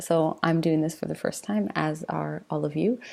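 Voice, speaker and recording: Soft-spoken, a woman talks at a fairly slow pace. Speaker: university lecturer. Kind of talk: informal lecture. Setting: home, late at night, self-recorded video. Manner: hesitant, with fillers.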